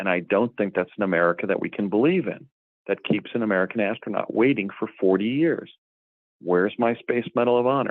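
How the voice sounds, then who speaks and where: A normal speaking voice at a fairly quick pace, with ordinary pitch variation. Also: man, fairly low pitch for a man. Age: 60s. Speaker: guest claiming past secret space program. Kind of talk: interview.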